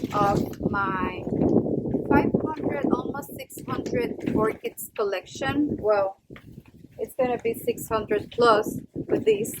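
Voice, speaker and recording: A woman with a Spanish accent talks at a very slow pace and a fairly high pitch, with ordinary pitch variation. Noticeable background noise runs behind her. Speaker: orchid collector, video creator. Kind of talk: casual show-and-tell vlog. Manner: halting, with fillers.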